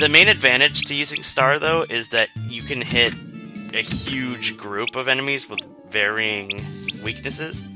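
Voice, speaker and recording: Over music in the background, a man speaks fairly slowly at a medium pitch with lively intonation. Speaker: let's play commentator. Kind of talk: casual gameplay commentary.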